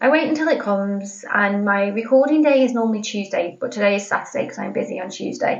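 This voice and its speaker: A woman with a British accent talks at a moderate pace and medium pitch, her intonation lively. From Britain. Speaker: podcast host. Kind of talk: casual chat. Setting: home office. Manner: chatty, informal.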